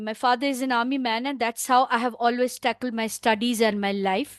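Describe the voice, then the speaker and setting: A woman with a high-pitched voice and ordinary pitch variation is heard against a quiet background, with a dry, close sound and no echo. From India. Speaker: climate advocate presenter. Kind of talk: panel discussion. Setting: video call.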